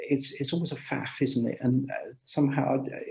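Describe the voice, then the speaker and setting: With a dark, mellow tone and a somewhat breathy edge, a man talks at a moderate pace and medium pitch, his intonation fairly even. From England, Gloucestershire. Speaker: amateur radio speaker. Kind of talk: Q&A after a talk. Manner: hesitant, many fillers.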